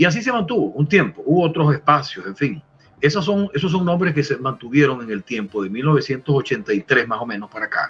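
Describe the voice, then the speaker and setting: Speaking very fast with vocal fry, a man uses a fairly high pitch and very wide pitch swings. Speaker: veteran radio announcer and lawyer, promoter of Venezuelan music. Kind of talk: interview answer.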